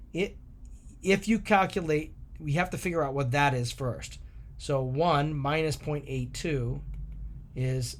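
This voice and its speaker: A man's fairly high, somewhat breathy voice at a fairly slow pace, with ordinary pitch variation. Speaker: math teacher. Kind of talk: tutorial.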